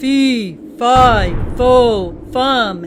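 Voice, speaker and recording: Over clear background noise, a put-on character voice is performed at a fairly high pitch. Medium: read story. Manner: menacing.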